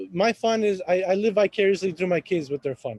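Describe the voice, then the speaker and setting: High-pitched male voice in an Arabic accent, dry, close sound with no echo. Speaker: real estate agent and café owner. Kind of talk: podcast interview. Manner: halting.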